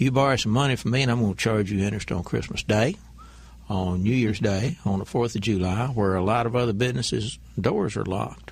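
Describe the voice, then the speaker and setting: With an ordinary speaking voice, a man talks at a fairly quick pace, with a fairly low pitch and ordinary pitch variation. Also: very even loudness. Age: 60s. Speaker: banker and businessman. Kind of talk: radio interview.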